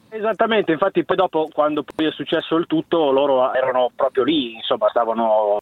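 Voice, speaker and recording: Speaking very fast, the man keeps his pitch variation ordinary. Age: 30s. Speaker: caller. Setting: phone call.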